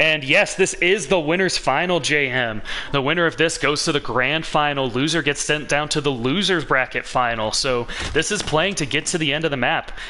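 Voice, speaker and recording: Noticeable background noise runs under the recording. The speaker is a man with a fairly high pitch. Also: ordinary pitch variation, very even loudness. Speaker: esports shoutcaster. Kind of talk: live esports play-by-play commentary. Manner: fast, energetic.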